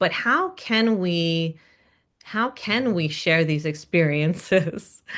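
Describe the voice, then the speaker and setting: Ordinary pitch variation from a woman with an American accent. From US. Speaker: singer. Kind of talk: casual interview.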